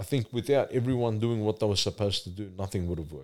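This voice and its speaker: A man talks at a fairly quick pace with an Australian accent. His fairly low voice is dark and mellow in tone. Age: 40s. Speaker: church youth mentor. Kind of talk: casual chat.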